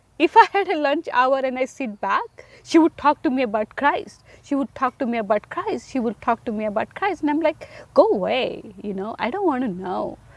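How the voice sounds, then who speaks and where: Speaking in an Indian accent, a woman uses a high voice with very wide pitch swings at a moderate pace, in a dry, close sound with no echo. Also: hardly any pauses. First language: Indian language. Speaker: single mother sharing faith story. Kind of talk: testimony.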